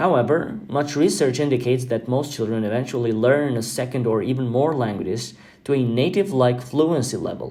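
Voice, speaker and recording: A man's dark, mellow voice at a medium pitch, with ordinary pitch variation, a moderate pace and audible room echo. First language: Albanian. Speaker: podcast host. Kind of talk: podcast monologue. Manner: halting with fillers.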